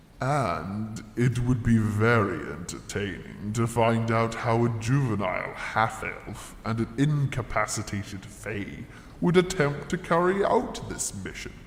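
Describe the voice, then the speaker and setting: A man's put-on character voice at a medium pitch and fairly slow pace, with hardly any pauses, clear echo and clear background noise. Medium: audio drama. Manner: pompous, self-pitying.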